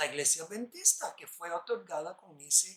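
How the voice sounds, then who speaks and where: A man's pitch swings very widely as he talks fairly slowly. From New York, US (Puerto Rican parents). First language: English (speaking Spanish). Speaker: lay preacher. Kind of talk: bible study sermon.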